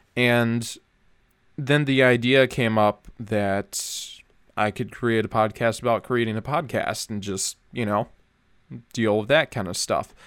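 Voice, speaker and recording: A man with a Minnesota accent speaks at a fairly slow pace, his medium pitch held in fairly even intonation. The sound is dry and close with no echo, on a very clean recording with a silent background. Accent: Upper Midwest American (Minnesota). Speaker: podcast host. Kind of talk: solo monologue, casual podcast talk. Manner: casual with frequent fillers and false starts.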